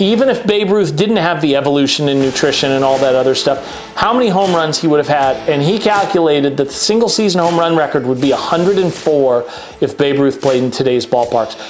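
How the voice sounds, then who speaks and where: Over music in the background and with audible room echo, a man talks at a fairly quick pace in a fairly high pitch, his intonation lively and his loudness very even. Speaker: YouTube show host. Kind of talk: casual monologue about sports rankings. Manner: conversational.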